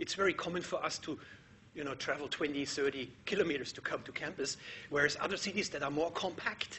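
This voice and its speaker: A man with a German accent, fairly high-pitched for a man, at a very fast pace with ordinary pitch variation. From Germany. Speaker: architecture professor. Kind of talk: lecture.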